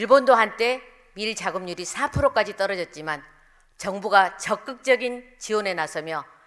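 Lively intonation colors a woman's fairly slow speech against a quiet background. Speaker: council member giving speech. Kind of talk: formal political speech. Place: hall. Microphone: podium.

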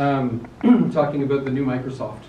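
Audible room echo and light background noise around a man speaking. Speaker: presenter. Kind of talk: technical talk to a live audience. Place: meeting room. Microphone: camera far.

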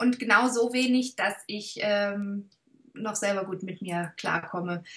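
Over a quiet background, a woman talks at a very slow pace. Her intonation is fairly even. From Swabia, southern Germany. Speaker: actress. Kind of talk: interview answer. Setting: video call. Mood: warm, thoughtful. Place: home room.

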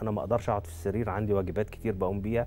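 With a Cairo accent, a man speaks in a dark, mellow tone at a fairly low pitch, with light background noise. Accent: Egyptian Arabic (Cairo). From Egypt. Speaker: neurosurgeon and spine professor; guest. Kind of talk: medical talk show interview. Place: studio. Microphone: lapel.

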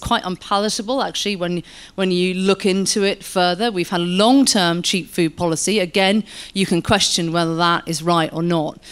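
A woman talks at a moderate pace. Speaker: guest. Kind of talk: panel discussion answer. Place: hall. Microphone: handheld.

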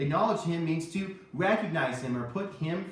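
A man speaks at a fairly slow pace, with audible echo from the room. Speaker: children's church teacher. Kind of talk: Bible lesson talk. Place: kitchen. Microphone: camera far.

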